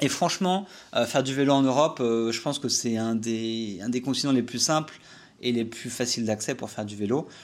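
This man talks at a fairly quick pace. His pitch sits in the medium range and varies in an ordinary way. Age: 30s. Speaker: podcast host, cycle traveller. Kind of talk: solo podcast monologue. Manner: casual, many hesitations.

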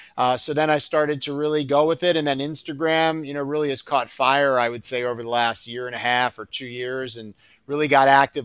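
An unremarkable speaking voice from a man with fairly high pitch, a fairly quick pace and fairly even intonation over a quiet background. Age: 40s. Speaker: endodontist. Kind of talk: casual chat.

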